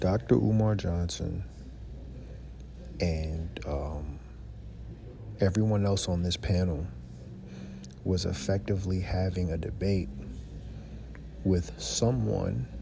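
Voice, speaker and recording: Quietly and at a very slow pace, a man with a very deep, low voice speaks with lively intonation and long, frequent pauses, in audible room echo. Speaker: YouTube commentator. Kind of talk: casual commentary vlog. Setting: library. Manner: quiet, talking low.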